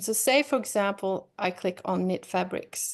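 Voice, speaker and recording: A woman speaks in an ordinary speaking voice at a medium pitch, with ordinary pitch variation and a quiet background. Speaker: online fabric shop owner. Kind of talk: product demo on a live video chat. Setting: video call.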